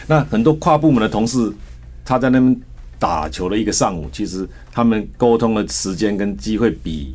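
Very wide pitch swings in a man's fairly low-pitched voice. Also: moderate pace. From Taiwan, Taichung. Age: 60s. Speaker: company chairman and former Olympic athlete. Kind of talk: radio interview.

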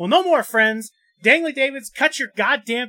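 A man speaks at a fairly quick pace with lively intonation and a raised, projected voice. The sound is dry and close, with no echo. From South Dakota. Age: 30s. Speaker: podcast host. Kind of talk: comedic mock ad read.

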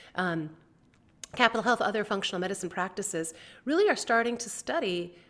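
A woman with an ordinary speaking voice and an American accent talks at a fairly quick pace with lively intonation, in a very clean recording with a silent background. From US, grew up on a family farm. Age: 50s. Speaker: health journalist and author. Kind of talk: interview conversation.

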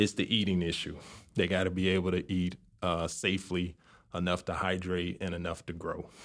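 In an American accent, a man speaks fairly quickly in a monotone with flat intonation and a very deep, low pitch. The recording is very clean, with a silent background. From Chicago, South Side. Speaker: neonatologist. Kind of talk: interview.

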